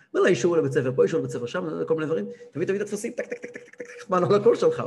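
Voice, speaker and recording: A man speaks with audible echo from the room. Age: 30s. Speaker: rabbi and Torah teacher. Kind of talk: religious lecture. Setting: live-streamed class.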